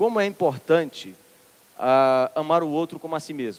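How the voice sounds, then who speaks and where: A man with a Ceará accent. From Ceará, northeastern Brazil. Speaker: minister, preacher. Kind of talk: sermon.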